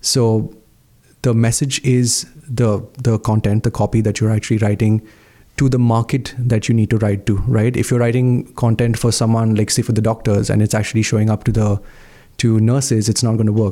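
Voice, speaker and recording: A man speaks at a fairly quick pace in a dark, mellow tone of medium pitch, with monotone, flat intonation, very even loudness and a very clean recording with a silent background. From India, Mumbai. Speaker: marketing manager. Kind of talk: interview.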